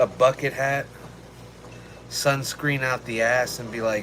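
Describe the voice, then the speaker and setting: Over noticeable background noise, a man with an American accent speaks very slowly at a fairly high pitch. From Texas. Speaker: streamer. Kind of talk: casual live stream chat. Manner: animated.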